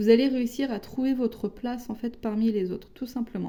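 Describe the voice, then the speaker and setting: This woman's voice has a dark, mellow tone. It is also somewhat breathy. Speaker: tarot card reader. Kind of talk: tarot reading. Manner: hesitant, with many fillers.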